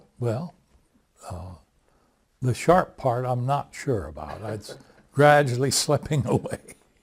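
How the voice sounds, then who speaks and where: A man with an American accent speaks at a very slow pace in a medium pitch, somewhat breathy, with big swings in loudness. His intonation is lively, with long, frequent pauses. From US Midwest, South Dakota. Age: 80s+. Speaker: retired accountant. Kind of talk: family interview.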